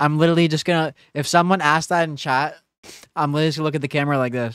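Very fast speech in a dry sound with no echo, over a quiet background. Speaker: gaming streamer. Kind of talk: casual live stream chat. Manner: low-energy. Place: home room. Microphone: studio mic.

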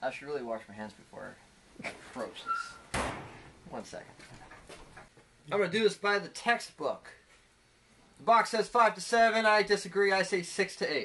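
The voice moves at a moderate pace, with big swings in loudness and long, frequent pauses. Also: man. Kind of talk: casual vlog chat. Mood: jokey, relaxed. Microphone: phone near.

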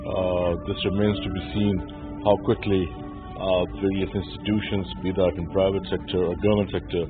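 Against clear music in the background, a man talks at a moderate pace. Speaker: TV news reporter. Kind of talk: news report piece to camera.

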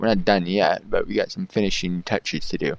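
A man's fairly quick, fairly low-pitched delivery in a normal speaking voice, with a dry sound and no echo. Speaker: gaming YouTuber. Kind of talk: gameplay commentary. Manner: casual, excitable, profane. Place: home room.

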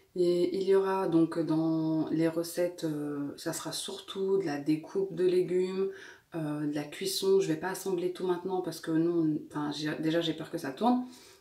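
Her pitch fairly low and her intonation fairly even, a woman speaks at a moderate pace with audible room echo. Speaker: lifestyle vlogger. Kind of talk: casual vlog chat. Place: kitchen. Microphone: phone near.

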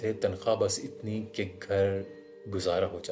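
A man with fairly low pitch, with music in the background. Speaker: radio jockey, story narrator. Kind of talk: horror story narration in Urdu.

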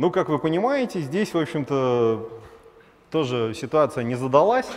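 With lively intonation, a man talks at a moderate pace. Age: 30s. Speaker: startup founder, former realtor; conference speaker. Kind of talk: conference talk; conference talk, storytelling. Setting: stage with audience. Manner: animated; casual, filler-heavy. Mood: wry, self-deprecating storytelling. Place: hall. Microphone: headset.

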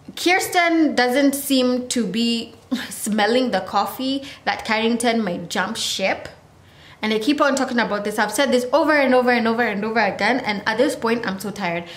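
A woman at a moderate pace, ordinary pitch variation, and audible room echo. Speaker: vlogger reviewing a TV show. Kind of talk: casual vlog chat. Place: home room. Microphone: phone near.

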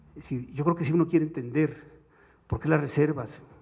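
Against a quiet background, a man talks fairly quickly in a dark, mellow, somewhat breathy tone. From Mexico. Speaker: economics commentator. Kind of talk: academic seminar. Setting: seminar room with audience. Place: hall. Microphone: podium.

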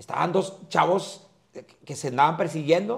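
Against a quiet background, a man speaks at a high pitch and a moderate pace with lively intonation. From Mexico. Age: old. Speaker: comedian; comedian guest. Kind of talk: casual chat. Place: hall.

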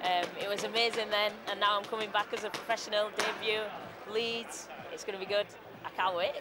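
A fairly quick pace over loud background noise. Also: woman, dry sound with no echo. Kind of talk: interview answer. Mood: cheerful, smiling. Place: hall.

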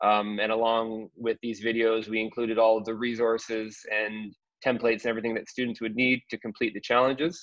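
There are hardly any pauses as a man talks in a monotone, flat intonation, with a dry sound with no echo against a quiet background. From Canada. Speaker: school digital literacy coach. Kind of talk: webinar presentation. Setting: video call from home. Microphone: video call.

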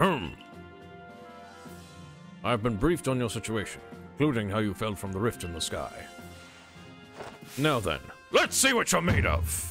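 Over clear background music, a man does a gruff put-on character voice at a fairly low pitch, swinging widely in pitch and talking fairly slowly with long, frequent pauses. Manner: commanding.

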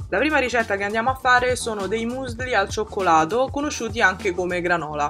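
Music plays in the background as a woman speaks at a fairly quick pace with hardly any pauses. Her medium pitch carries lively intonation. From Italy. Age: 20s. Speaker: vegan food YouTuber. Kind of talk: recipe voice-over. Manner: casual, friendly.

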